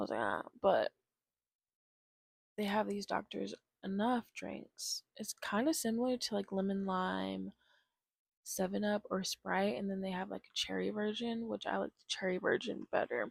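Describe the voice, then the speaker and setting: Soft-spoken and relaxed, a woman with an American accent talks at a moderate pace with big swings in loudness, in a dry, close sound with no echo. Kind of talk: ASMR rambling, casual talk to camera. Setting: lying in bed, close-mic home recording. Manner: soft-spoken, relaxed.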